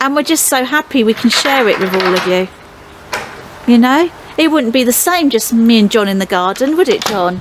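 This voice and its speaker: A woman speaks at a moderate pace in a high pitch with lively intonation. Noticeable background noise is present. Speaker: pond-building vlogger. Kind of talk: casual chat. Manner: loud.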